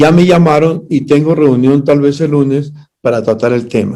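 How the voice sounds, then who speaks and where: Ordinary pitch variation runs through this man's dark, mellow tone. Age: 80s+. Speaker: pastor and party official. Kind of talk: interview.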